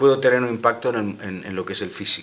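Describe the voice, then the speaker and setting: With an Argentine accent, a man speaks at a medium pitch and a fairly quick pace. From Argentina. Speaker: minister on deliverance and healing. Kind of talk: interview on a religious program. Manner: hesitant, with fillers and repeats.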